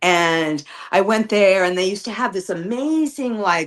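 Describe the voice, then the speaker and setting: A woman at a moderate pace with lively intonation. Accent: New York. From New York, Brooklyn. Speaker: guest practitioner on a witchcraft livestream. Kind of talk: casual chat. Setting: live stream.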